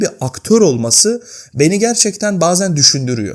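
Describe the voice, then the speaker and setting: A man speaks in a high pitch at a moderate pace. His intonation is lively. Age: 20s. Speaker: YouTuber. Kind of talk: personal vlog monologue. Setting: home, at night. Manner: unscripted, conversational.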